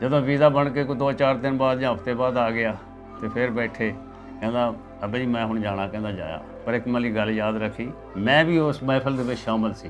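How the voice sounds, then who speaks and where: Music plays in the background as a man speaks at medium pitch, with audible room echo. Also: fairly even intonation. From East Punjab, Ludhiana district. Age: 80s+. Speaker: partition eyewitness. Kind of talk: oral history interview.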